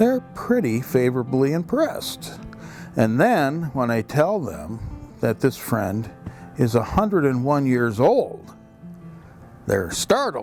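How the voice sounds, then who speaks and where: The speaker talks at a very slow pace while music plays in the background. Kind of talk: documentary narration.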